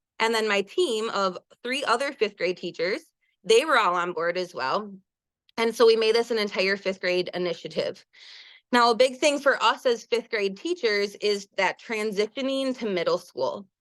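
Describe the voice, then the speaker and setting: Her intonation is lively. The woman is heard against a quiet background. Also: fairly high pitch for a woman, moderate pace. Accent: Wisconsin. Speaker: elementary school teacher. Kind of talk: webinar presentation. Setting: online webinar.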